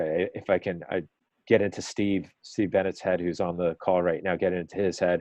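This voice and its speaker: A man with an American accent speaks in a very deep, low pitch. His pace is moderate and his intonation monotone and flat. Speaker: weather forecast discussion leader. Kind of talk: group forecast discussion on a call. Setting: conference call. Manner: casual with many fillers.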